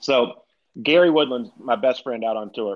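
A man's medium-pitched voice with a Southern US accent and ordinary pitch variation. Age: 30s. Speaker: retired pro golfer, golf broadcaster. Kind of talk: casual chat.

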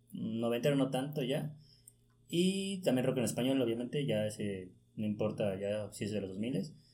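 A man with a medium pitch speaks at a moderate pace, his intonation lively. His tone is dark and mellow, and room echo is audible. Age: 20s. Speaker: journalism student and sports writer. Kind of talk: casual chat.

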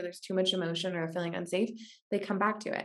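With an American accent, a woman speaks at a medium pitch and fairly even intonation. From US Pacific Northwest, Washington State. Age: 20s. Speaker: podcast host. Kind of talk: podcast interview.

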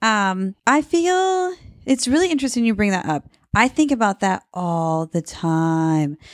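A woman in a Midwestern American accent, medium pitch with very wide swings, fairly slow pace, dry close sound with no echo, very clean recording on a silent background. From US Midwest, Cedar Rapids, Iowa. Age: 30s. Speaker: small business owner. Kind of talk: casual interview chat. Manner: laughs often.

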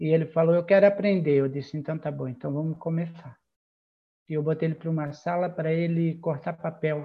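A man talks at a fairly quick pace with a fairly high pitch. His intonation is monotone and flat. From Santa Catarina coast near Florianópolis, Brazil. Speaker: church group leader. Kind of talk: casual chat.

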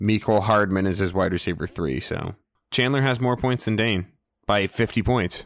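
A man with a plain, everyday voice speaks at a moderate pace, his pitch fairly low with ordinary variation. The background is quiet. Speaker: fantasy football podcast co-host. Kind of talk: casual chat. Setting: remote recording, hosts in different places.

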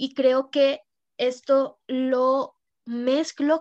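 The recording of a woman's high-pitched voice is dry and close, with no echo. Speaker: podcast co-host, tarot reader. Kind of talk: casual chat.

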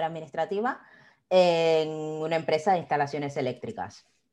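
Over a quiet background, a woman with a fairly low pitch and ordinary pitch variation talks at a fairly quick pace in a normal speaking voice. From Cuba, Havana. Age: 30s. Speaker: quality consultant and online business owner. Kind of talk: interview conversation.

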